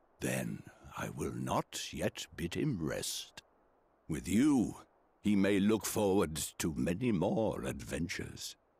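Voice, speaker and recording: In a put-on character voice, the speaker goes at a fairly slow pace on a very clean recording with a silent background. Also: man, very deep, low pitch for a man. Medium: video game. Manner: gentle, measured, formal.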